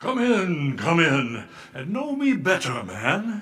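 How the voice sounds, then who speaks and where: A raspy, put-on character voice makes very wide pitch swings over an audible echo. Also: man, high pitch for a man, fairly slow pace. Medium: audio drama. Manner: hearty, cheery.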